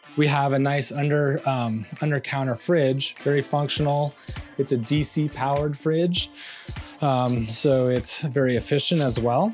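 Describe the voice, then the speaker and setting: A fairly even intonation plays over faint background music. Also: man. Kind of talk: home tour explanation. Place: home room.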